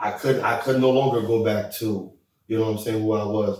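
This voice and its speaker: A man rattles along at a very fast pace in a fairly low pitch. His voice is somewhat breathy and his intonation monotone and flat. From Haiti, moved to the US as a child. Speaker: podcast co-host. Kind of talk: casual chat.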